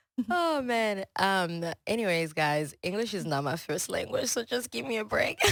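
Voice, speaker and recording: A woman's medium-pitched voice with a French accent, moderate pace and very wide pitch swings. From Congo, then Houston from age 12. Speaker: chef and business owner. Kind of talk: podcast interview. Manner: casual, many fillers.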